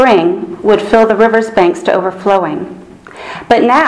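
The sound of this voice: Pitch variation here is ordinary. It comes from an unforced reading voice.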